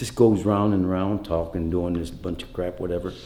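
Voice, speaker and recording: There is audible room echo and noticeable background noise. A man talks at a fairly quick pace. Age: 60s. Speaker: host's father. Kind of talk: casual chat.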